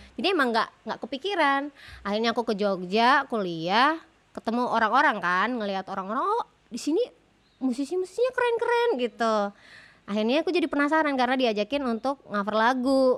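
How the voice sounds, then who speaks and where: Her voice is high in pitch. The woman's intonation is lively. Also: fairly quick pace. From Sulawesi, Indonesia. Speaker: singer and podcast co-host. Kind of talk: casual chat.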